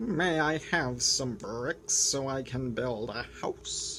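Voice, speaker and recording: A man puts on a character voice at a medium pitch, speaking very slowly over clear background noise. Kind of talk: children's story read-aloud. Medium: read story.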